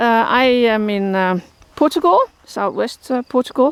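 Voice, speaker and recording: A moderate pace with a Dutch accent. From Netherlands. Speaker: horse shelter keeper, vlogger. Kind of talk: casual vlog talk to camera. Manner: halting, many fillers.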